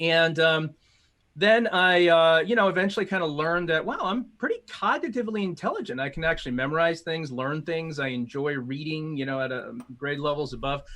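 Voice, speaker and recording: In a Midwestern US accent, a man speaks at a fairly quick pace. His pitch is high and his intonation lively. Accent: General American, Midwestern. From US Midwest (Illinois, Chicago suburbs). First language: Mandarin. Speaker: corporate strategist and speaker. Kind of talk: interview.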